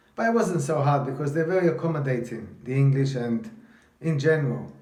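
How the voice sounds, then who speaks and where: An animated man speaks at a fairly high pitch with ordinary pitch variation. Audible room echo is present. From London, England (from age 7; early childhood in Italy). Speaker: vlogger telling his life story. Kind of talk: personal storytelling monologue. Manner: animated, halting with repetitions.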